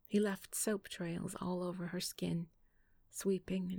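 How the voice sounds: What you hear is a natural reading voice.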